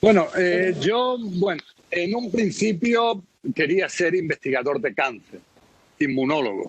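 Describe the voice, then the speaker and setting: A man speaks at a very slow pace. His high pitch carries lively intonation. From Spain, Melilla. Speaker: foreign correspondent. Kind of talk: interview.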